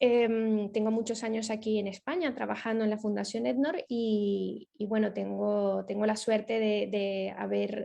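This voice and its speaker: A woman talks at a fairly slow pace. She leaves hardly any pauses. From Venezuela. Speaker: ethics foundation project manager. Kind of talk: lecture. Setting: video call. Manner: hesitant, many fillers.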